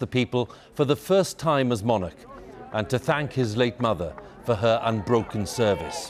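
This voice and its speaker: Noticeable background noise runs under this recording. A man talks with ordinary pitch variation. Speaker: news presenter. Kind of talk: broadcast news anchor. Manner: formal, solemn.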